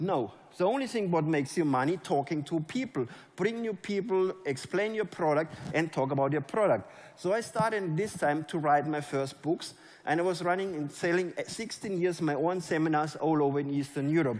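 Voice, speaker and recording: Animated, fairly high male voice with a German accent, ordinary pitch variation and a moderate pace. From Germany. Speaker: network marketing leader. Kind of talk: motivational speech. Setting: stage with audience.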